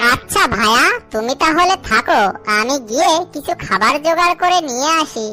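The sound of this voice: A female-sounding voice doing a cartoonish character voice at a high pitch comes through clear background noise. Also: fairly slow pace.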